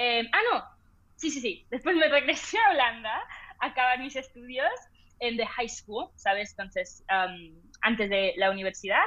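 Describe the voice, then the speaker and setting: A woman's raised, projected voice, high-pitched with a bright, sharp tone, very wide pitch swings and a moderate pace. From international upbringing, oil-industry family moving every few years. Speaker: entrepreneur and social media creator. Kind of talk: casual interview chat. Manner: hesitant, many fillers.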